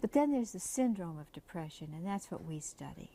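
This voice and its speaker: Soft-spoken and somewhat breathy, a woman talks at a moderate pace. Her fairly low voice has a dark, mellow tone. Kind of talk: interview.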